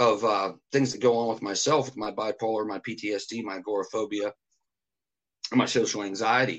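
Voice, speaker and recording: Here a man talks at a moderate pace in an unremarkable speaking voice of medium pitch. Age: 40s. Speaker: musician and radio host. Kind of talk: casual chat.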